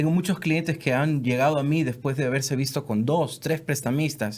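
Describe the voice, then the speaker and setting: A man with a plain, everyday voice speaks at a moderate pace and a fairly high pitch. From South America. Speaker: mortgage lender. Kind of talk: casual podcast chat.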